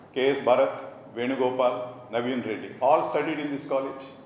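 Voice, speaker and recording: A man speaks at fairly high pitch and a moderate pace. There is audible room echo and noticeable background noise. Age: 60s. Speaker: college administrator. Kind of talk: motivational speech.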